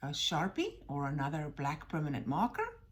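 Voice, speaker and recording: The speaker is a woman with a somewhat breathy voice. She goes at a fairly slow pace. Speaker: art teacher. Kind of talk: tutorial. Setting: recorded video. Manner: encouraging, addressing kids.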